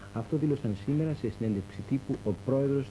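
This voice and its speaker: A man with a dark, mellow tone and vocal fry speaks at a moderate pace with ordinary pitch variation, over light background noise. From Greece. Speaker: news presenter. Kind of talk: 1984 TV news bulletin, formal scripted newsreading. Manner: formal, grave, measured delivery. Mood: formal, neutral. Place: studio. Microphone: lapel.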